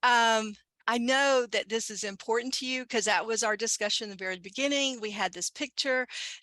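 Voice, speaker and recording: Someone with a Southern US accent talks at a fairly quick pace, in a bright, sharp tone with fairly even intonation. The sound is dry and close with no echo, against a quiet background. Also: woman, fairly high pitch for a woman. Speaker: commuter program consultant. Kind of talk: webinar panel discussion.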